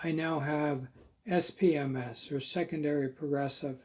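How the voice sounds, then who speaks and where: Somewhat breathy, a man's fairly high voice keeps fairly even intonation at a fairly slow pace. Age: 60s. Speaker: host, writer with multiple sclerosis. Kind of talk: testimony.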